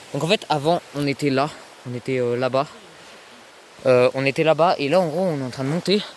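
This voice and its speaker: A fairly high-pitched man with fairly even intonation at a fairly quick pace, over noticeable background noise. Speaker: youtuber filming a prank vlog. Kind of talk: casual vlog narration to camera. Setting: outdoors, hiding in woods. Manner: hesitant, many fillers; quiet, speaking softly while hiding.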